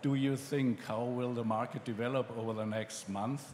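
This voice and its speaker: A man speaks with a German accent at a medium pitch. His intonation is monotone and flat. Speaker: magazine editor, panel moderator. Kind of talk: panel discussion moderation. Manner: hesitant, many fillers.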